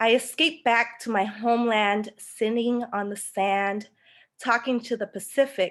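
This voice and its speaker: A woman with a Spanish accent speaks at a fairly slow pace against a quiet background. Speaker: poet. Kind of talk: spoken word poetry.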